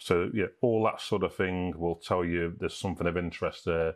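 The background is quiet. A man with a very deep, low pitch talks at a fairly quick pace. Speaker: hiking YouTuber. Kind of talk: tutorial. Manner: casual, hesitant with fillers. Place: home room.

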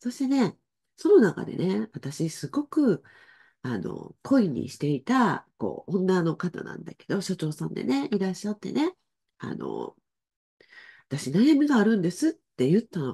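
A woman speaks at a fairly slow pace in a dark, mellow tone with vocal fry, against a quiet background. Her pitch swings very widely and her loudness swings a lot. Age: 60s. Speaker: spiritual life coach. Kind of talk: casual livestream talk. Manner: chatty, many fillers. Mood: warm, friendly. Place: home room.

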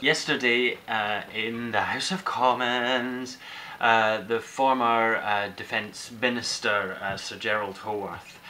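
The pace is very slow. Intonation stays fairly even. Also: man. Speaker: vlogger. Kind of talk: casual vlog chat. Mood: ranting, exasperated. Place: kitchen.

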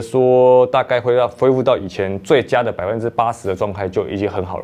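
Speaking at a moderate pace, a man delivers his lines. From Taiwan. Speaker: marathon runner. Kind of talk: interview monologue. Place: studio. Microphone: lapel.

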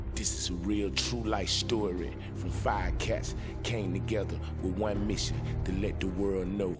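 A man's very deep, low voice at a fairly slow pace, with very wide pitch swings, very even loudness and music in the background. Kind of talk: movie trailer voice-over. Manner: casual, street slang.

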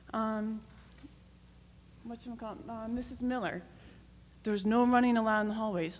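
A woman's shaky voice, fairly high-pitched, comes with an American accent. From North Stonington, Connecticut. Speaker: town resident and parent. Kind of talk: public comment at town meeting.

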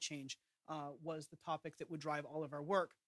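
Very fast speech comes from a man with a bright, sharp tone. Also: quiet background. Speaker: presenter. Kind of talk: briefing presentation. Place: hall. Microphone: podium.

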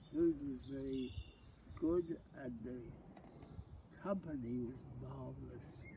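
Over noticeable background noise, a man talks at a very slow pace with long, frequent pauses, the sound dry with no echo. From Wimbledon area, London, England. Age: 80s+. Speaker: retired RAF fighter pilot. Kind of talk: interview answer. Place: garden. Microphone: camera far.

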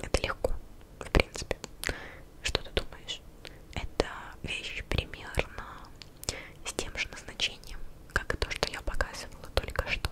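A woman whispers at a fairly slow pace while noticeable background noise continues. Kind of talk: ASMR video. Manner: whispered.

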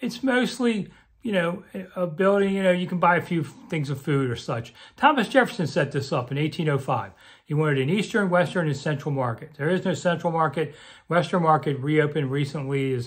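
Quiet background behind a man. He speaks at a fairly quick pace. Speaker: local commentator. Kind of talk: casual vlog chat. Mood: relaxed, wry. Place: home room. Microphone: phone near.

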